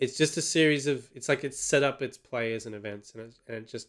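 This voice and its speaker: With an Australian accent, this man's speech moves along fairly quickly. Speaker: film podcast co-host. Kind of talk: casual chat.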